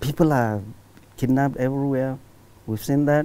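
A man with a northern Nigerian accent talks at a fairly high pitch. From Nigeria, Katsina State. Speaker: professor of medicine and public commentator; professor of medicine, public commentator. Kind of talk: TV interview. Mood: earnest, persuasive. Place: studio. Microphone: lapel.

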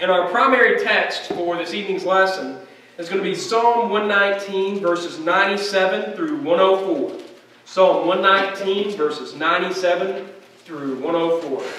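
A man speaks at a high pitch with ordinary pitch variation. Audible room echo and light background noise come through. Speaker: preacher. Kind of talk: sermon. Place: church.

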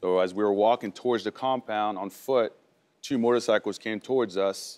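At a moderate pace, a man talks in a fairly low pitch with fairly even intonation. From France, moved to US at 11. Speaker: war veteran, medal recipient; guest. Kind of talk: talk show interview. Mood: serious, composed storytelling. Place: studio.

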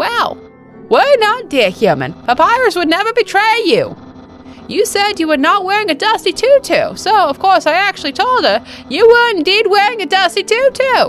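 A put-on character voice at an extremely high pitch moves at a moderate pace over clear music. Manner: loud, earnest, pompous.

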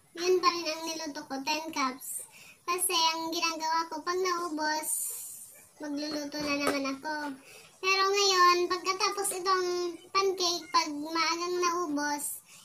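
Amid light background noise, a woman projects a raised voice with a bright, sharp tone, speaking fairly slowly in a monotone, flat way. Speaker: home food seller. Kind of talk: casual vlog chat. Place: home room. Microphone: phone near.

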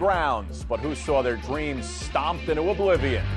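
A man with an American accent talks at a moderate pace. Clear music plays in the background. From New York, USA. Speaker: sports anchor and host. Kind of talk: sports broadcast host intro. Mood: playful, wry. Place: studio. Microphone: lapel.

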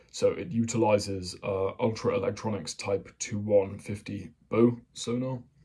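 The voice is quiet and somewhat breathy, with light background noise. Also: man. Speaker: hobbyist explainer. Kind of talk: casual military explainer talk. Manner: monotonous; quiet, kept down. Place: home room. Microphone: phone near.

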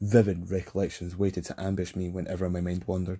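On a very clean recording with a silent background, a man with a Scottish accent speaks fairly quickly in a very deep, low, dark and mellow voice with monotone, flat intonation. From Scotland. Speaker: audiobook narrator. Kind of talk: fantasy audiobook reading. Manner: relaxed.

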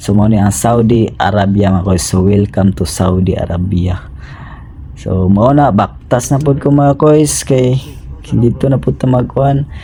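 Against noticeable background noise, a man speaks at a fairly slow pace and fairly low pitch, with very wide pitch swings yet very even loudness. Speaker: travel vlogger, overseas worker. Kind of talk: travel vlog narration. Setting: airport. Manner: halting.

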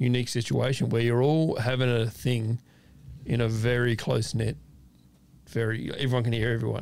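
A man talks at a fairly quick pace with fairly even intonation. The sound is dry, with no echo. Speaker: podcast host. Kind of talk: casual podcast conversation. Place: studio. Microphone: studio mic.

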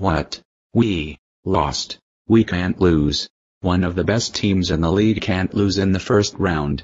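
Putting on a character voice, a man speaks fairly slowly at a very deep, low pitch. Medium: machinima. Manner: shocked, then manic and vindictive.

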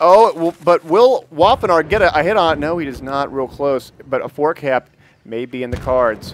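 A man speaks in a normal speaking voice, fairly high in pitch, with lively intonation at a moderate pace. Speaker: esports caster and channel owner. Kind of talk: casual gaming commentary.

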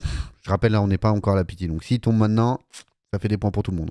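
A man's fairly low, dark, mellow voice over a quiet background. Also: dry sound with no echo. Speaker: gaming YouTuber. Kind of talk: casual live-style gameplay commentary. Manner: casual, chatty, enthusiastic. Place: home room. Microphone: studio mic.

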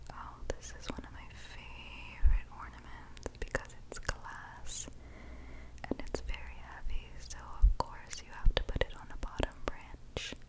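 Noticeable background noise is present. Over it, a woman whispers fairly slowly. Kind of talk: ASMR voice-over. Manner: soft-spoken.

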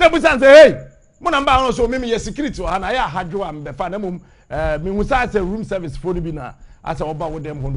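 A man speaks with very wide swings in pitch. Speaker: media commentator. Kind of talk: commentary. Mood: mocking, scolding. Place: studio. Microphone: lapel.

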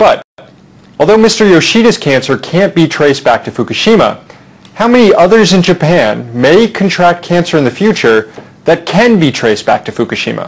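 A man's high voice at a moderate pace, full of very wide pitch swings. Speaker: talk show host. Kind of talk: interview. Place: studio.

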